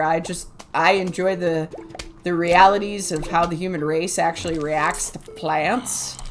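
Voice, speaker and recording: A woman talks fairly slowly over clearly audible background noise. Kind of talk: casual gameplay commentary. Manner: chatty, rambling.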